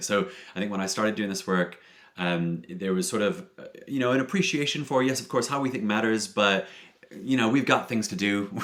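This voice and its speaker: With an American accent, this man has a fairly low pitch and lively intonation. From US, Detroit. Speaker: philosopher. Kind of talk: podcast interview.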